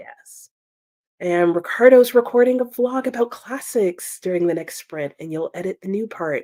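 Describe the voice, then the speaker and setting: With a dark, mellow tone, a woman speaks at a moderate pace and swings her pitch very widely, the sound dry and close with no echo. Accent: American. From United States. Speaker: booktuber hosting a readalong livestream. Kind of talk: casual livestream chat reading viewer comments. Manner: animated.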